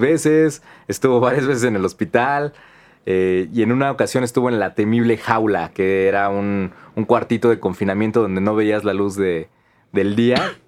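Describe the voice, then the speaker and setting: A man at a medium pitch with a Mexican accent speaks with ordinary pitch variation. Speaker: podcast co-host. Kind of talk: casual chat.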